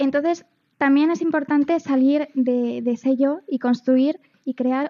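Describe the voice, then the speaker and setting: A woman's high-pitched voice at a fairly slow pace with fairly even intonation. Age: 20s. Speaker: teacher. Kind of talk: talk show discussion.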